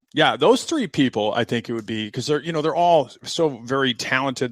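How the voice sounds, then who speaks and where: The voice has vocal fry and lively intonation at a moderate pace. The recording is dry and close with no echo, on a very clean, silent background. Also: man. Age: 50s. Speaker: retired police commander. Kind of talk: casual interview chat. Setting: podcast. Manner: halting.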